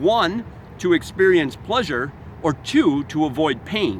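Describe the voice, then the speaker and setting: With lively intonation, a man talks in a high voice over noticeable background noise. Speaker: self-help author and motivational speaker. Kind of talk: motivational talk. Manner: fast.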